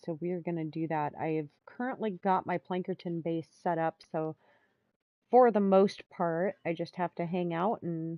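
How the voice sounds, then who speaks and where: Fairly even intonation at a fairly slow pace, in a plain, everyday voice. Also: woman, fairly low pitch for a woman. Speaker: gamer streamer. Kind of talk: casual gameplay commentary.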